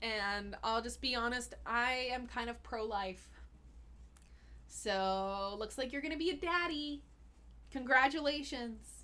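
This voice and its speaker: A woman's high, bright, sharp voice with an American accent, at a very slow pace with long, frequent pauses, ordinary pitch variation, and audible room echo. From US, Austin, Texas. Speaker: holistic health coach and live chat host. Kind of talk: live Q&A chat. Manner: casual, chatty.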